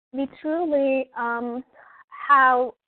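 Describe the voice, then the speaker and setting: A woman's high voice with a Turkish accent and ordinary pitch variation. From Turkey. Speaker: early childhood education professor. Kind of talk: webinar presentation. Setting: online webinar. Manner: hesitant, frequent filler words.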